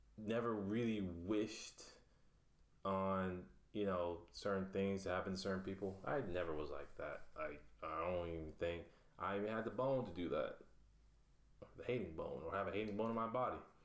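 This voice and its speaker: A man with an American accent talks at a moderate pace, his fairly low voice showing ordinary pitch variation. Long, frequent pauses break up his speech, and room echo is audible. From South Florida (Pahokee). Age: 20s. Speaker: self-published writer. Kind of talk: interview, casual. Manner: hesitant, many fillers.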